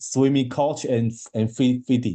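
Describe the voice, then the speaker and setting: The man's tone is dark and mellow. He speaks with a Chinese accent. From China. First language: Mandarin Chinese. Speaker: marathon swimmer. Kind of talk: interview. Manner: halting, many repetitions.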